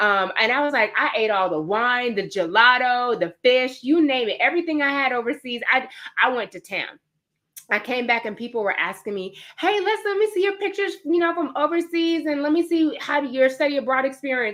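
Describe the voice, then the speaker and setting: A woman's high, bright, sharp voice with a New York accent, an animated tone, very wide pitch swings and a fairly quick pace. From New York (Queens). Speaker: fitness trainer. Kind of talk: webinar presentation. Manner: fast.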